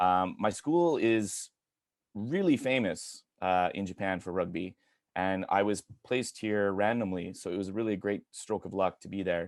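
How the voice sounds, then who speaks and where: Moderate pace and ordinary pitch variation with a Canadian accent, in a very clean recording over a silent background. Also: man, fairly low pitch for a man. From Canada (Edmonton, Alberta). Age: 40s. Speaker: English teacher. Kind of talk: presentation talk. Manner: halting, many fillers.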